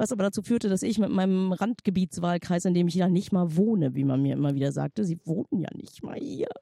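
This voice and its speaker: A woman talks at a very fast pace with lively intonation at a medium pitch. The sound is dry and close, with no echo. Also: hardly any pauses. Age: 40s. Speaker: podcast co-host. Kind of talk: casual chat. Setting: outdoors on a bench by the sea.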